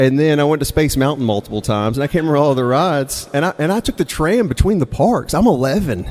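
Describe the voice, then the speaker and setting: The speech comes at a very fast pace in an American accent. The intonation is lively. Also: man, fairly high pitch for a man. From Mississippi, US South. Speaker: storyteller and songwriter. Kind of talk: live storytelling. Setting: stage with audience. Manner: casual, conversational with hesitations.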